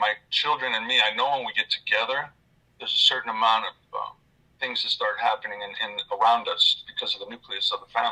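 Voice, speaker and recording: A man speaks at a fairly quick pace. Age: 60s. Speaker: caller sharing experiences. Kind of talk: casual chat.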